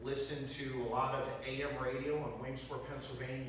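Light background noise and strong room echo surround a man speaking at a moderate pace with fairly even intonation. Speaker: guest lecturer. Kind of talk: lecture.

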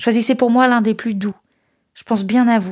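A woman speaks at a moderate pace. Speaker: volunteer letter reader. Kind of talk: reading a letter aloud.

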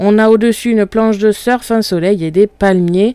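Dark, mellow tone at a moderate pace, with fairly even intonation, a dry sound with no echo and a quiet background. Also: woman. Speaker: craft software tutor. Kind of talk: tutorial. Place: home room.

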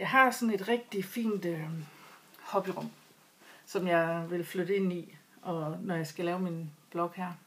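The speaker is a woman with ordinary pitch variation. She speaks at a fairly slow pace. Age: 40s. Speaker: knitting vlogger. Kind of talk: casual vlog talk. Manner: halting. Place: home room. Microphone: webcam.

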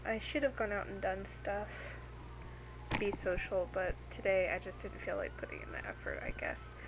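A woman delivers her words at a moderate pace while noticeable background noise carries on behind her. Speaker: vlogger. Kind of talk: casual vlog chat. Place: home room. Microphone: webcam.

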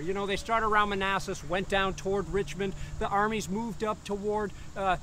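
A man speaks in a raised, projected voice at a fairly quick pace. The sound is dry with no echo, and there is light background noise. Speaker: historian guide. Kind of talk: lecture. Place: open country. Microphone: lapel.

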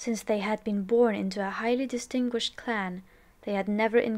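Reading done in a natural voice

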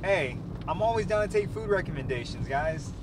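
Against noticeable background noise, a man's voice comes through dry, with no echo. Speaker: food vlogger. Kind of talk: casual vlog chat. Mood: upbeat, satisfied. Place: car.

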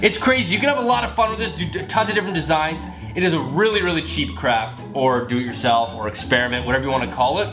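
A man's fairly quick speech is accompanied by clear background music. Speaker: video host. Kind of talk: casual vlog chat. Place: kitchen. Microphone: camera far.

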